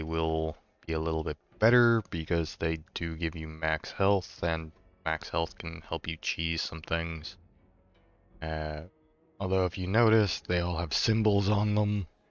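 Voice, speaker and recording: Over background music, a man with a very deep, low pitch speaks at a fairly slow pace with fairly even intonation. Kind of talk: casual gameplay commentary.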